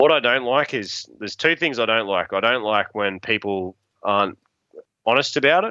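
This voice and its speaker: Bright and sharp in tone, a man with an Australian accent speaks at a medium pitch and moderate pace with lively intonation, in a dry, close sound with no echo against a quiet background. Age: 30s. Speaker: bowhunter and hunting outfitter. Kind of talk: casual chat. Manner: animated.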